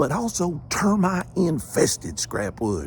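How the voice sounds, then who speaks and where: With a Southern US accent, a man is talking. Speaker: storyteller. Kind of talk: humorous ghost story performance.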